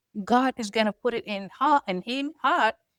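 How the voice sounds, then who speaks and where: Recorded very clean over a silent background, with a dry, close sound and no echo, a woman speaks with a Sudanese accent and ordinary pitch variation. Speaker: podcast co-host, foster mother. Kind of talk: casual chat.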